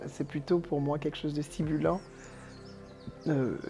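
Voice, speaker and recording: Over background music, a man talks at a moderate pace with a fairly high pitch. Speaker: teacher and singer. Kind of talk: interview answer. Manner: hesitant, reflective.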